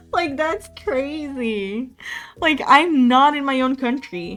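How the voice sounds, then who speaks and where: Over background music, a woman talks with pitch that varies in an ordinary way. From Portugal. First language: Portuguese. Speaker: streamer. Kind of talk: casual chat. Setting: live stream.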